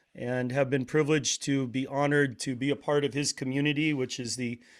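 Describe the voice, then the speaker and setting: A man's fairly high voice with an American accent, a plain, everyday voice at a moderate pace, on a very clean recording with a silent background. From Portland, Oregon, US. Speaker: podcast host, drummer, wellness practitioner. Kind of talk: casual interview conversation.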